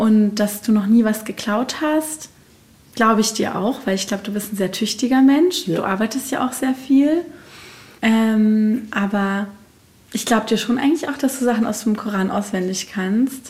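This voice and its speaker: With a fairly high pitch and ordinary pitch variation, a woman speaks at a moderate pace in a normal speaking voice. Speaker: podcast host. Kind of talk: casual interview; scripted narration.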